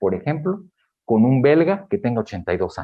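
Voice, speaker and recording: A man with a Mexican accent speaks at medium pitch. His pitch swings very widely. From Mexico. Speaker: geriatrician. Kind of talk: lecture. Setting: auditorium with audience.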